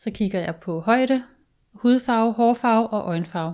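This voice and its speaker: In a very clean recording with a silent background, a woman speaks at a fairly slow pace and fairly high pitch with ordinary pitch variation. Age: 30s. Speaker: guest sharing personal story. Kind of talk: casual chat. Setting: studio.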